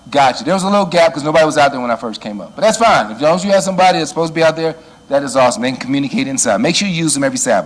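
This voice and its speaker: A very fast, fairly high-pitched man with an American accent and very wide pitch swings, over noticeable background noise. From Chicago, US Midwest. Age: 60s. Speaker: church security trainer. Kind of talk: lecture. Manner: loud; animated.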